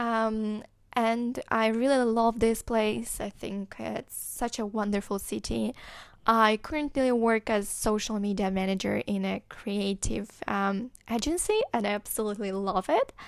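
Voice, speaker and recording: A woman with a Moldovan accent speaks at a fairly high pitch and fairly slow pace, her intonation fairly even, on a very clean recording with a silent background. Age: 20s. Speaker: podcast host. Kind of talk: podcast monologue. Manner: hesitant, many fillers.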